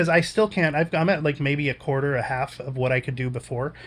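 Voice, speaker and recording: A somewhat breathy man with an American accent, at a fairly high pitch, with ordinary pitch variation and a fairly quick pace. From Indiana, US. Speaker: stroke survivor streamer. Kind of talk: casual chat. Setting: livestream. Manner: halting.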